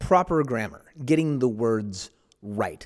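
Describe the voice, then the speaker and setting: A normal speaking voice belongs to a man with an American accent and a medium pitch. He talks at a fairly slow pace with lively intonation, on a very clean recording with a silent background. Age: 40s. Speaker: pastor. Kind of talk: reflective monologue.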